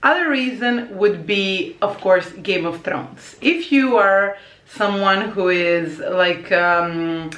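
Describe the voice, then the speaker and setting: Speaking very slowly yet with hardly any pauses, a woman with a Croatian accent keeps a medium pitch and ordinary pitch variation, amid audible room echo and noticeable background noise. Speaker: language teacher and vlogger. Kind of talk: casual vlog talk. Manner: hesitant with many fillers.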